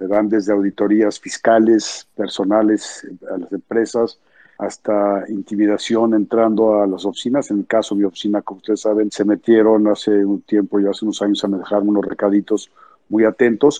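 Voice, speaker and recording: With flat, monotone intonation, a man with a fairly low pitch speaks at a moderate pace. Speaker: anti-corruption activist. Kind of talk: political statement in online discussion.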